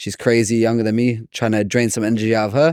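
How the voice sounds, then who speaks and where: The recording is very clean, with a silent background. A speaker in a British accent talks at a very fast pace with fairly even intonation. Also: man. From London, England. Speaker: jiu-jitsu competitor. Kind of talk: casual interview.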